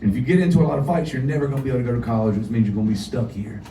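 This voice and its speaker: With a Southern US accent, the speaker uses lively intonation, and the recording has audible room echo and noticeable background noise. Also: man. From US South (North Carolina). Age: 40s. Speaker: singer-songwriter. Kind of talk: storytelling on stage. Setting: stage with audience.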